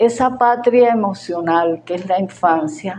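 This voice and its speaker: Her pitch medium and its variation ordinary, a woman speaks at a very slow pace. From Venezuela, Táchira. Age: 70s. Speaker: gastronomy writer and researcher. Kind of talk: conference talk. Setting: in-person seminar.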